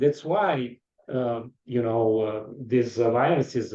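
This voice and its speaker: A man speaks with an Eastern European accent at a very slow pace. His tone is dark and mellow. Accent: foreign accent, Eastern European. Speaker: podcast interviewer. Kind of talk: interview.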